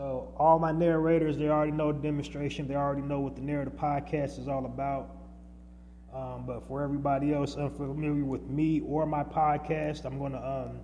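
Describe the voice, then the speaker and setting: A man talks at a fairly quick pace, and room echo is audible around him. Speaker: podcast host. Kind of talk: podcast monologue. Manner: loud.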